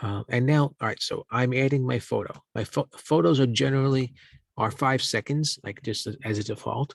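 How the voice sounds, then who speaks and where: The man has an ordinary speaking voice at medium pitch, with ordinary pitch variation and a moderate pace. The sound is dry and close, with no echo. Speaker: journalism instructor. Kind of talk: tutorial.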